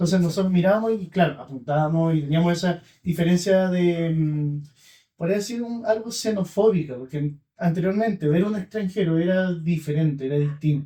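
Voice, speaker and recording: A man's high voice with a dark, mellow tone, at a moderate pace with ordinary pitch variation. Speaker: podcast host. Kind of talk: casual conversation.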